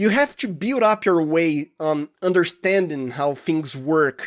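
A man's fairly high, lively voice with a Portuguese accent, fairly slow, in a very clean recording with a silent background and a dry, close sound with no echo. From Brazil, Santo Andre (Sao Paulo state). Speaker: audio drama producer and sound designer. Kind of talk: casual interview chat.

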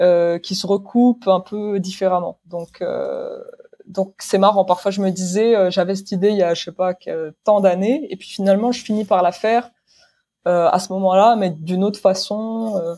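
A woman's dark, mellow voice at a medium pitch moves at a fairly slow pace with fairly even intonation and big swings in loudness. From Morocco. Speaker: animation filmmaker. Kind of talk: interview. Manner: halting.

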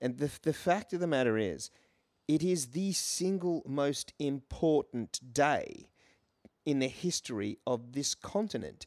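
In an Australian accent, a man speaks fairly slowly at a fairly high pitch with lively intonation, in a very clean recording with a silent background and a dry, close sound with no echo. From Australia, Brisbane. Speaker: comedian and musical performer. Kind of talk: casual chat.

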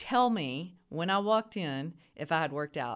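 A woman with a West Texas accent, very deep and low in pitch, with lively intonation at a fairly slow pace, on a very clean recording with a silent background. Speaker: university administrator. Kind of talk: interview.

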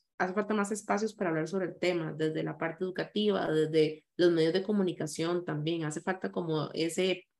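A woman with a Costa Rican accent, fairly low in pitch, at a moderate pace with ordinary pitch variation. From Costa Rica, San José. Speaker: content creator and anti-racism activist. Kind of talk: interview.

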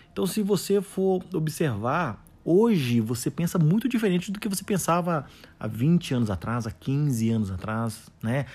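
Fairly high for a man, his somewhat breathy voice moves in very wide pitch swings. The recording is very clean, with a silent background. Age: 40s. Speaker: podcaster on soft skills and coaching. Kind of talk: solo podcast monologue. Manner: hesitant, many fillers.

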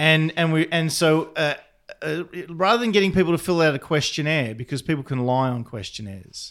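A man with an unremarkable speaking voice, fairly high-pitched, lively in intonation and fairly quick in pace. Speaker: podcast co-host, academic. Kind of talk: casual banter podcast.

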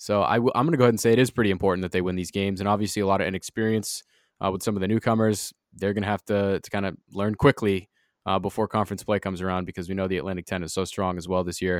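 On a very clean recording with a silent background and a dry, close sound with no echo, a man talks at a very fast pace in a fairly low pitch with fairly even intonation. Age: 20s. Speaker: college radio sports podcast host. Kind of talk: casual sports chat.

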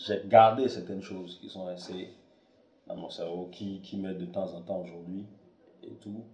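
Amid noticeable background noise and audible room echo, a man speaks at a moderate pace in a fairly low pitch, with long, frequent pauses and big swings in loudness. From Togo, Lomé. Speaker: filmmaker and podcaster. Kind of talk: casual monologue. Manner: halting, many fillers.

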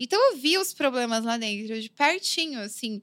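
A woman talks in a high pitch, keeping a moderate pace. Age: 30s. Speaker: graffiti artist and illustrator. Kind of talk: casual interview. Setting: studio.

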